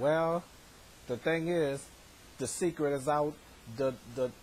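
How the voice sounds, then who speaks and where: At a fairly slow pace, the speaker's voice comes out somewhat breathy. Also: man. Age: 30s. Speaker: vlogger. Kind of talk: casual vlog monologue. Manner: halting, many repetitions.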